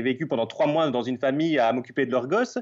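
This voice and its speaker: A man talks at a fairly quick pace. His voice sits at a fairly high pitch. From Belgium. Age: 30s. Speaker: travel photographer and Instagrammer. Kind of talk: interview.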